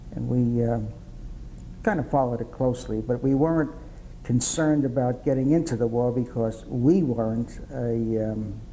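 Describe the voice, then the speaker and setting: A man's dark, mellow voice with a New York accent, medium pitch, ordinary pitch variation, a moderate pace and long, frequent pauses. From New York City, Upper East Side. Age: 80s+. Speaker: World War II veteran. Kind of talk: oral history interview.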